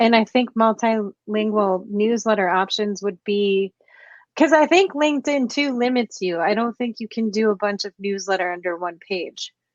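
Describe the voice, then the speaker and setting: In a normal speaking voice with an American accent, a woman talks at a moderate pace and fairly high pitch with ordinary pitch variation, recorded dry and close with no echo against a quiet background. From United States. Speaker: podcast host. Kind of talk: interview conversation.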